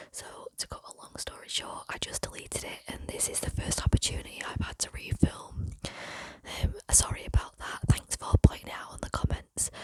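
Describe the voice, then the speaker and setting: A woman whispers at a moderate pace, with big swings in loudness. Noticeable background noise can be heard. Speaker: ASMR youtuber. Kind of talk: ASMR whispered storytelling. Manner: whispering; soft-spoken.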